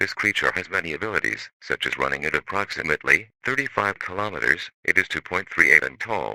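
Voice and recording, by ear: Low in pitch, a man talks at a fairly quick pace with lively intonation and a bright, sharp tone, in a dry, close sound with no echo.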